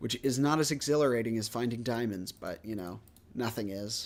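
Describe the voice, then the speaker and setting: A man with a plain, everyday voice, medium pitch and ordinary pitch variation at a moderate pace, on a very clean recording with a silent background. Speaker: gaming streamer. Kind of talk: casual gameplay commentary.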